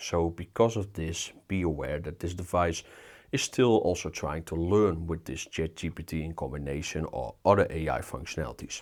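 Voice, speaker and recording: The recording is very clean with a silent background. A man with a very deep, low pitch and vocal fry speaks at a moderate pace with ordinary pitch variation. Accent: Dutch. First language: Dutch. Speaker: tech reviewer. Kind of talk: product review. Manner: casual, filler-heavy.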